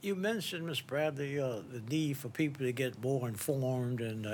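With an ordinary speaking voice, a man talks at a moderate pace with ordinary pitch variation. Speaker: podcast host and judge. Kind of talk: interview.

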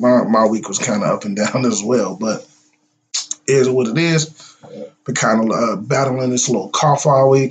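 A man puts on a character voice, raspy and medium in pitch. He moves at a moderate pace with ordinary pitch variation. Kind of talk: casual.

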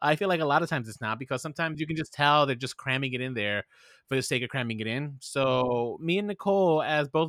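On a very clean recording with a silent background and a dry, close sound with no echo, a man speaks at a fairly quick pace with a fairly high pitch and ordinary pitch variation. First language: bilingual. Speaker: podcast host and health industry director. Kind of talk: casual interview.

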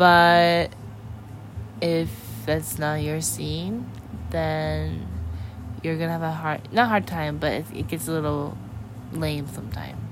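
In an American accent, a woman with a very deep, low pitch speaks very slowly, her pitch swinging very widely, with long, frequent pauses, noticeable background noise and audible room echo. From US Pacific Northwest, Seattle area. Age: 20s. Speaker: podcast guest. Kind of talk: casual chat. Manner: halting.

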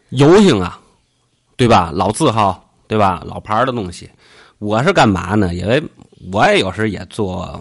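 Against a quiet background, a man with a fairly low pitch and lively intonation talks at a fairly slow pace, with long, frequent pauses and big swings in loudness. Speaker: podcast host. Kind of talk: casual chat. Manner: joking, playful.

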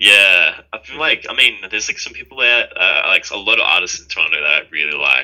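A man speaks with an Australian accent at a fairly quick pace. He hardly pauses, and his loudness swings widely. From Sydney, Australia. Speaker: electronic music duo member. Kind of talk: interview.

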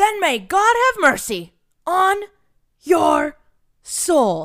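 A put-on character voice at an extremely high pitch, at a very slow pace

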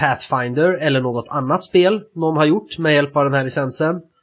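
A man with a fairly high pitch and an unremarkable speaking voice talks at a moderate pace. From Sweden. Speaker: tabletop roleplaying game podcast co-host. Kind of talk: casual chat.

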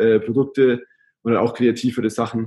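A man's medium-pitched, monotone voice with flat intonation at a moderate pace. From Germany, Augsburg (Bavarian Swabia). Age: 20s. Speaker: travel blogger. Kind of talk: casual interview.

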